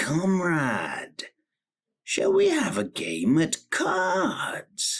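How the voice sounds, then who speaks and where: Very slow pace and middle pitch in a put-on character voice. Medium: read story. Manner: plaintive, sly.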